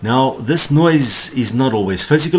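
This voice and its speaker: Over noticeable background noise, a man with a South African accent talks at a fairly quick pace with lively intonation. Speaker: corporate trainer. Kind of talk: tutorial.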